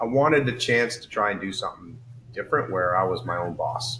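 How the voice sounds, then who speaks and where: Here is a man with a normal speaking voice and a medium pitch. His pace is fairly quick, and his pitch varies in an ordinary way. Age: 60s. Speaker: engineer and startup founder. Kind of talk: interview. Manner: casual, filler-heavy.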